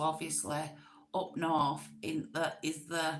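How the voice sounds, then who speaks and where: With a northern English accent, a woman speaks at a very slow pace in a very deep, low pitch with vocal fry and ordinary pitch variation, and audible room echo around her. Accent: northern English accent, classed as common. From northwest England, Manchester. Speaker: YouTube livestream host. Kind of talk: casual chat. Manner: slangy, chatty.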